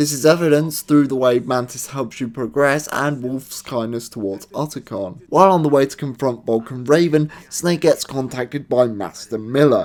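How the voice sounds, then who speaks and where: Hardly pausing, a man with a British accent speaks at a moderate pace and medium pitch with ordinary pitch variation. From Britain. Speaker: gaming video reviewer. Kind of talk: comedic banter; scripted review narration.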